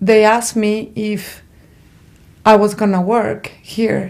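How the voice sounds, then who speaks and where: In an American accent, a woman at medium pitch speaks at a very slow pace with monotone, flat intonation. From abroad, far from the US. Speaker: trafficking survivor. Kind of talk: testimony.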